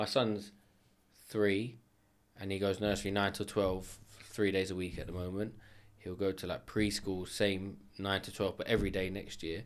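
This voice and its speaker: A man talks at a fairly quick pace in a London accent. His pitch is fairly low. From north London (Edmonton). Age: 30s. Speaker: kitchen company owner. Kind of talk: casual chat.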